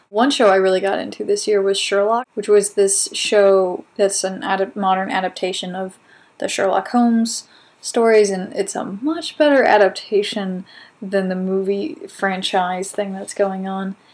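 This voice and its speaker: At a moderate pace, this woman has an unremarkable speaking voice, medium in pitch and with ordinary pitch variation. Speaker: video blog host. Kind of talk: casual talk to camera.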